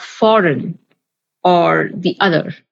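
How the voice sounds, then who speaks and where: A woman speaks with a Bengali accent. Her pace is very slow. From Bengali-speaking household, English-medium school campus. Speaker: podcast host. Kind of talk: podcast discussion.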